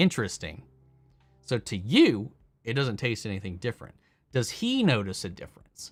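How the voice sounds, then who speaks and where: Very wide pitch swings run through this man's somewhat breathy voice at a moderate pace. The recording is very clean and the background silent. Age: 30s. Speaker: streamer reading live chat. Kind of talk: casual live stream chat. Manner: casual, stumbling over words.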